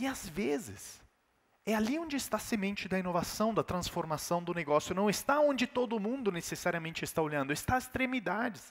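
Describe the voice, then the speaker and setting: Speaking fairly quickly with an Italian accent, a man uses a high pitch, an animated tone and very wide pitch swings. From Italy. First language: Italian (speaking Portuguese). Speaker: keynote speaker. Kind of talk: keynote talk.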